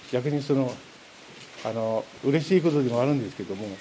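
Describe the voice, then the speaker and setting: Noticeable background noise sits behind a man with a fairly high voice speaking at a moderate pace. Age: 60s. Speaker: returning evacuee resident. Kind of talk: interview. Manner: halting.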